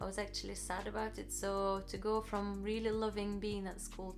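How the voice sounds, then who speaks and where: A woman's medium-pitched voice at a moderate pace, with fairly even intonation and music in the background. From Russia. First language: Russian. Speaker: vlogger. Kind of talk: personal story, casual vlog. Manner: hesitant, with many fillers.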